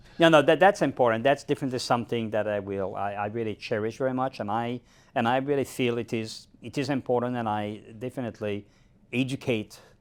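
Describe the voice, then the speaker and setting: A man at a very fast pace, medium pitch with ordinary pitch variation, on a very clean recording with a silent background. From Quebec, Gaspé region. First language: French. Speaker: neuroscience professor. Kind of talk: interview conversation. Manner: halting, many repetitions.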